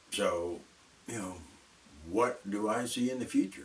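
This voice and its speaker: A man with an American accent talks at a moderate pace against noticeable background noise. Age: 70s. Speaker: video blogger. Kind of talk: casual monologue. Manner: halting.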